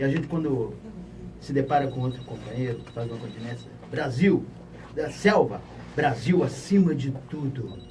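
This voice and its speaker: At a moderate pace, a man with a medium-pitched voice speaks with ordinary pitch variation, and room echo can be heard. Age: 60s. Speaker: pastor and retired army officer. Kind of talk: public question to panel.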